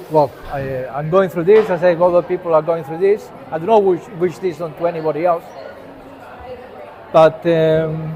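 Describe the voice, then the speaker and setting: Against noticeable background noise and audible room echo, a man talks at a high pitch with fairly even intonation and long, frequent pauses. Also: moderate pace. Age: 60s. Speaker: vlogger. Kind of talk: personal monologue to camera. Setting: gallery cafeteria. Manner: hesitant, many fillers.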